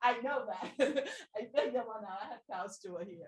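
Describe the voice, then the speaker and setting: A somewhat breathy woman's voice at a moderate pace, with ordinary pitch variation. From Brazil. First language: Portuguese. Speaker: audience member. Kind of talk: audience question. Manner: halting.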